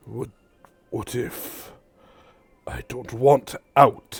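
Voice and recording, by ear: A man's raspy put-on character voice at medium pitch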